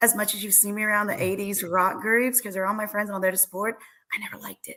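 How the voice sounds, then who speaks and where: Her tone is bright and sharp, at a medium pitch, as this woman speaks very fast. Her intonation stays fairly even while her loudness swings widely. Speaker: singer. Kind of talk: casual interview chat.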